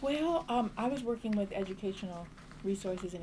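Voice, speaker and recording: A woman with an American accent talks at a very fast pace, with ordinary pitch variation. Noticeable background noise is present. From US Midwest, Champaign, Illinois. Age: 60s. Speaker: community arts organizer. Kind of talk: oral history interview. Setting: office. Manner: halting.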